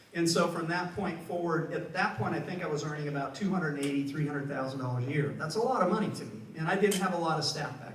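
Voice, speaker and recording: With noticeable background noise and audible room echo, a man speaks very fast at a fairly high pitch with ordinary pitch variation. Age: 70s. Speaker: financial adviser. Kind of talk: conference panel talk.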